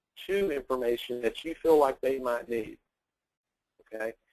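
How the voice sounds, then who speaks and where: Dry and close with no echo, a man's medium-pitched voice shows ordinary pitch variation. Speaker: sales trainer. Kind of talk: webinar training. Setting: webinar call. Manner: fast.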